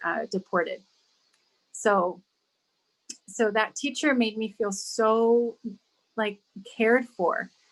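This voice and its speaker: A woman's fairly high voice with a Spanish accent and ordinary pitch variation. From California, near Santa Barbara, born abroad. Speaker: school district diversity director. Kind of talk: radio interview. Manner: repetitive, halting.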